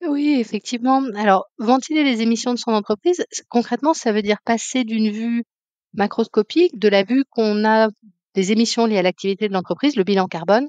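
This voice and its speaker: Fairly high-pitched and fairly quick, a woman speaks in a dry, close recording with no echo. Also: ordinary pitch variation. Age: 40s. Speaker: climate consultant. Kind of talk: interview. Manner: hesitant, many fillers.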